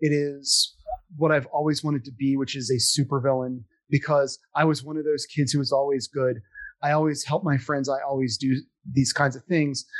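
A man with an American accent speaks in a normal speaking voice, fairly high-pitched for a man, at a moderate pace with fairly even intonation. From US Northeast, Philadelphia. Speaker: actor. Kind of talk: casual chat.

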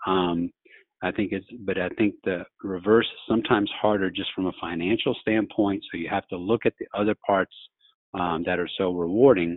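A man talks at a moderate pace with a very deep, low pitch. His intonation stays fairly even. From Louisiana. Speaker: orthopedic surgeon. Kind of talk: interview.

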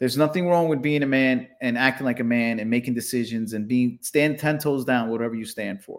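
A man with a normal speaking voice talks at a medium pitch, fairly even in intonation and with hardly any pauses. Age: 40s. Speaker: podcast co-host comedian. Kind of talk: casual chat.

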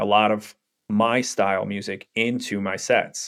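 In a very clean recording with a silent background, a man speaks at a medium pitch in a New York accent. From Brooklyn, New York. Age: 40s. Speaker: brand strategist, former DJ. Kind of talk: interview. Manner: halting, many fillers.

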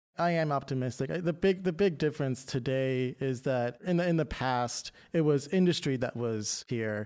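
A man speaks with an American accent, in an ordinary speaking voice. His pitch shows ordinary variation against a quiet background. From Maryland, Baltimore County. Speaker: preservation advocate. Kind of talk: interview. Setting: studio.

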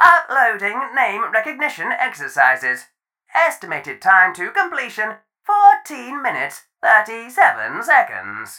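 A robotic, put-on character voice with a fairly high pitch at a fairly slow pace. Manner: cheerful.

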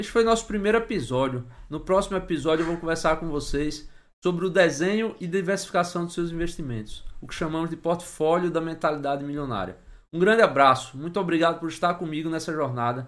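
This man talks at a fairly quick pace in a high voice with ordinary pitch variation. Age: 30s. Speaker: investor and finance YouTuber. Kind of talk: tutorial.

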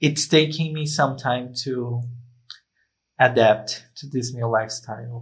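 Somewhat breathy and fairly slow, a man speaks with a Brazilian accent. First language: Portuguese. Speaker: guest, YouTube content creator. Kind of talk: casual interview chat.

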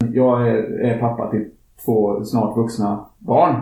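A man speaks in a dark, mellow, somewhat breathy voice with monotone, flat intonation, and audible room echo around him. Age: 50s. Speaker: climate activist podcast host. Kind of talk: casual chat.

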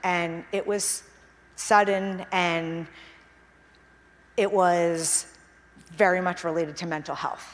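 A woman's fairly low voice, very slow, with fairly even intonation and long, frequent pauses. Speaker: founder presenting her venture. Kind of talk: public talk. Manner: shaky voice; halting.

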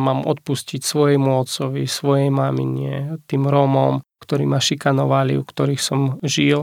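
The man speaks with a slight Ukrainian accent at a moderate pace. The sound is dry and close, with no echo. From Ukraine. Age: 30s. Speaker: pastor. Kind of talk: testimony. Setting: studio.

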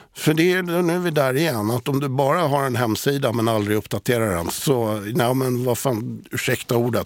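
At a moderate pace, a man with an ordinary speaking voice and medium pitch talks with lively intonation. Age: 60s. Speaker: digital communication specialist. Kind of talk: casual chat. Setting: studio.

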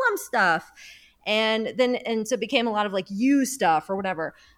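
A woman talks at a fairly quick pace. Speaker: podcast host. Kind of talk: casual chat.

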